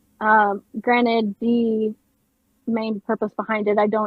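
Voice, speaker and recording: Music plays in the background. The speech is fairly slow, with monotone, flat intonation. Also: woman. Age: 30s. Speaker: streamer, former music student. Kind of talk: casual chat.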